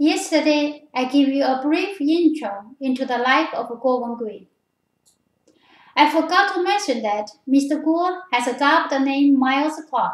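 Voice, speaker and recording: Lively intonation marks a high-pitched woman with a Chinese accent speaking at a fairly slow pace. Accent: Chinese accent, noticeable. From China. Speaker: political commentator. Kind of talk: video commentary.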